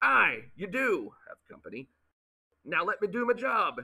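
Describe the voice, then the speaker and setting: Putting on a character voice, a man projects his raised voice at an extremely high pitch and a moderate pace. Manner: gruff.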